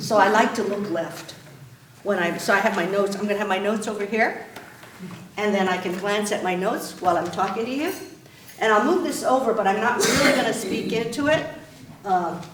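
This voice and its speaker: A woman talks at a fairly quick pace with long, frequent pauses and ordinary pitch variation, amid noticeable background noise and audible room echo. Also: medium pitch for a woman. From Japan. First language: Japanese. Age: 60s. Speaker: state supreme court justice. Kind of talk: public talk.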